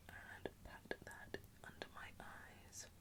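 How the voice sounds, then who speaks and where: Whispering in a gentle, calm tone, a woman with a British accent speaks over noticeable background noise. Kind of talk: ASMR makeup routine, whispered commentary to camera. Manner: soft, gentle, calm.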